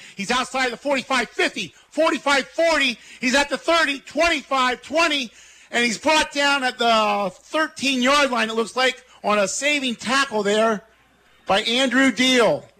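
A man's raised, projected voice, extremely high in pitch, bright and sharp in tone, very slow, with ordinary pitch variation. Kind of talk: live play-by-play football commentary. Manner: brisk, clipped, steady play-by-play delivery.

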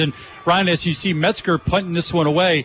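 Noticeable background noise sits behind a man's high-pitched voice. He keeps a moderate pace with ordinary pitch variation. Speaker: play-by-play announcer. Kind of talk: live sports commentary.

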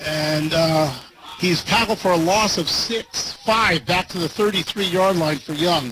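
A man talks in a raised, projected voice with ordinary pitch variation. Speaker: play-by-play radio announcer. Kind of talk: live play-by-play sports commentary. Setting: stadium broadcast booth. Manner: energetic but even-toned, matter-of-fact.

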